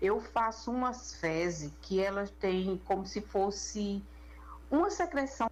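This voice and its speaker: This woman talks at a very slow pace. Her loudness stays very even throughout. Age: 60s. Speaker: listener sharing a health case. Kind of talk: recorded personal testimony.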